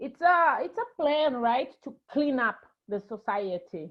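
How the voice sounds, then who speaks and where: The delivery is very slow, though the intonation stays lively. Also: woman. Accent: Brazilian. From Brazil. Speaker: actress and filmmaker. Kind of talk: interview.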